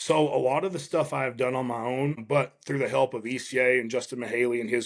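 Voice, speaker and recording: With a medium pitch, a man keeps his intonation fairly even. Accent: Southern US. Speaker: strength and fitness coach. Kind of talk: interview conversation.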